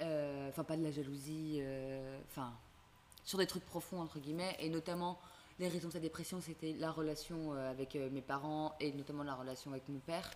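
Intonation stays fairly even while the pace holds moderate. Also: woman, very deep, low pitch for a woman. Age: 20s. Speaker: student. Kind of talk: casual chat.

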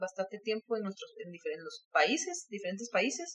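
A woman's voice with lively intonation over noticeable background noise. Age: 40s. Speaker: filmmaker. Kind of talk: interview.

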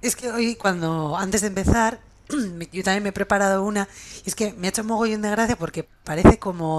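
A woman speaks at a fairly quick pace. Her medium pitch shows ordinary pitch variation. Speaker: podcast co-host. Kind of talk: casual chat.

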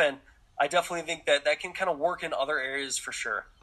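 Very fast speech in an American accent over noticeable background noise. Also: man. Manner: casual, relaxed, lots of filler words.

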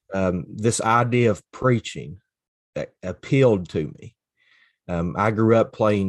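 A man speaks with an Appalachian accent. The background is quiet. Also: dry, close sound with no echo. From Eastern Kentucky, Floyd County. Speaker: associate minister. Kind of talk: casual faith conversation.

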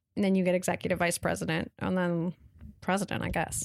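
A woman talks in an American accent with an unremarkable speaking voice at a medium pitch. She keeps a fairly quick pace in a very clean recording with a silent background. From Washington State, US. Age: 30s. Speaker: TV network executive. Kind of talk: interview. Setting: in person, Montreal.

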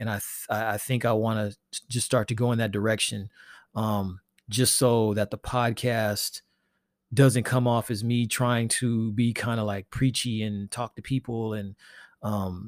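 Man at medium pitch, monotone and flat, moderate pace, dry and close with no echo, very clean recording with a silent background. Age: 50s. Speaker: podcast host and artist. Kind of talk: casual solo monologue. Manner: halting, many fillers.

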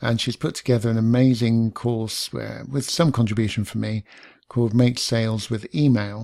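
At a moderate pace, the speaker has a dark, mellow tone and fairly even intonation on a very clean recording with a silent background. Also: man, medium pitch for a man. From London. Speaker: podcast host. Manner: laid back.

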